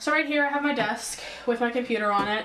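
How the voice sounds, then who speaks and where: Amid noticeable background noise, a woman speaks at a moderate pace in a high pitch with ordinary pitch variation. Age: young. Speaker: college student. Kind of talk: casual talk to camera.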